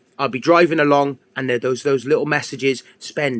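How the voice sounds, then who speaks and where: In an English accent, a man with a fairly high pitch talks at a moderate pace with fairly even intonation, the sound dry and close with no echo. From England. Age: 40s. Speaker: fitness coach. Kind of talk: casual livestream monologue.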